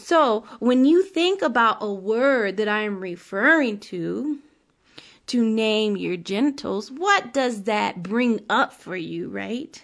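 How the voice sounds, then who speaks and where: A woman with a fairly high pitch speaks very slowly with lively intonation over a quiet background. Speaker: podcast host and sex educator. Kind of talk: solo monologue podcast. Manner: casual, frequent laughter; occasional stutter.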